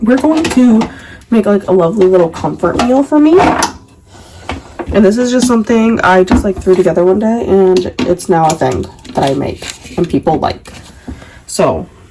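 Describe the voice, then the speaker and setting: A woman of medium pitch speaks at a moderate pace with very wide pitch swings. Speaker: book and cooking youtuber. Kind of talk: casual cooking chat. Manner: chatty, filler-heavy.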